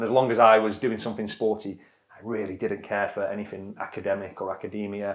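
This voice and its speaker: A man with a northern English accent at a very fast pace, fairly low in pitch, monotone and flat, with big swings in loudness. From northern England, Blackpool, Lancashire. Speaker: adventurer and former soldier. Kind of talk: interview. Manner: halting.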